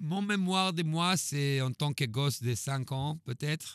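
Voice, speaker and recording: A man speaks at a very slow pace with ordinary pitch variation, in a dry, close sound with no echo on a very clean recording against a silent background. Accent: Hebrew. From Israel. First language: Hebrew (speaking French). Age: 40s. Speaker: drummer. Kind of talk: interview. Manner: halting.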